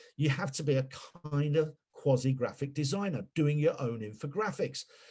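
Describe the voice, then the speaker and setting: A man speaks at a moderate pace in a fairly high voice with ordinary pitch variation. His tone is dark and mellow, and somewhat breathy. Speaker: PR consultant and webinar speaker. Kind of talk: webinar presentation. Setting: webinar. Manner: animated.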